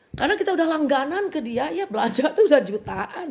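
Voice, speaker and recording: A somewhat breathy voice with a West Javanese accent. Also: woman. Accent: Sundanese. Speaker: bag seller vlogger. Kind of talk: casual vent to viewers.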